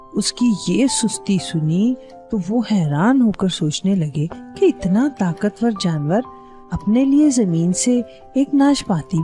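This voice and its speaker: A woman's medium-pitched voice with very wide pitch swings, music in the background. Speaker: storyteller. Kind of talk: children's story narration.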